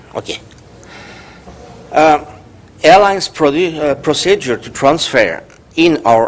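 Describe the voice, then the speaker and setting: The speaker has a Swiss French accent and ordinary pitch variation. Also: man. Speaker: professor. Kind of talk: conference talk. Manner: halting.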